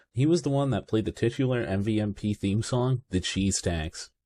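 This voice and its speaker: A man speaks in a relaxed tone with a dark, mellow quality and a somewhat breathy sound. His pitch is fairly low, with ordinary variation. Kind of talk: casual gaming commentary. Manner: chill, relaxed.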